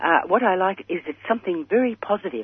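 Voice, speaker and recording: With an Australian accent, a woman speaks using ordinary pitch variation. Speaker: caller. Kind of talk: call-in question on radio. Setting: phone call. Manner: halting.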